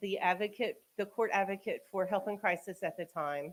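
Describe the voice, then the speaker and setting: Here a woman talks at a moderate pace. Her pitch is medium. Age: 40s. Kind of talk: public talk to community audience. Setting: community event with live audience, eating. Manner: loud.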